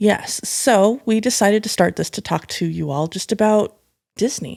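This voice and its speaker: On a very clean recording with a silent background, a woman with an unremarkable speaking voice speaks at a medium pitch. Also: ordinary pitch variation, moderate pace. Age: 40s. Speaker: podcast co-host. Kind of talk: casual chat. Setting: home, on the couch.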